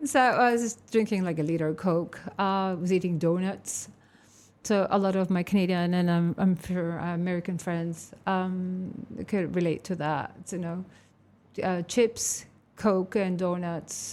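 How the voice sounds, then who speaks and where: A woman speaks at a fairly slow pace with fairly even intonation and a medium pitch, recorded very cleanly against a silent background. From Canada. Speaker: mental health advocate. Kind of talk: interview. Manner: halting.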